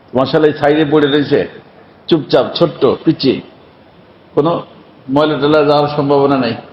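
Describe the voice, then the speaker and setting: Over noticeable background noise, a man speaks in a flat, monotone way. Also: fairly high pitch for a man. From rural Bangladesh. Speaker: Islamic preacher. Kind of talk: sermon. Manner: clear.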